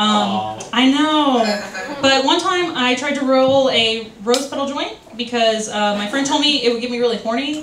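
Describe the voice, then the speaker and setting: Pitched high with ordinary pitch variation, a woman's voice carries audible room echo and light background noise. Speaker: stand-up comedian. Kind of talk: open-mic stand-up set, rambling self-deprecating bits with crude punchlines. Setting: stage with audience at a bar open mic. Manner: scattered and giggly, loses her train of thought; halting, filler-heavy delivery full of ums and self-corrections. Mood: self-deprecating, playful. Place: bar.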